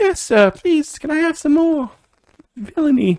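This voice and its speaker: A put-on character voice at a high pitch and moderate pace. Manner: timid, eager, polite.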